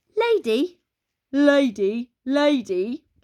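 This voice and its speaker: A woman puts on a high-pitched character voice. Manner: desperate.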